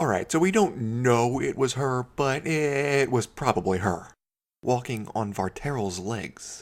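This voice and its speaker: At a fairly slow pace, a man talks at medium pitch. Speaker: voice actor. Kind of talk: video game commentary narration.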